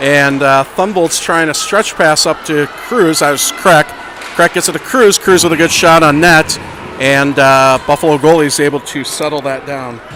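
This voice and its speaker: A man with an American accent and a fairly high pitch talks at a moderate pace with ordinary pitch variation, amid noticeable background noise. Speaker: amateur youth hockey commentator. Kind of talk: live commentary. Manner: loud. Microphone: volume adjusted mid-stream, was too quiet.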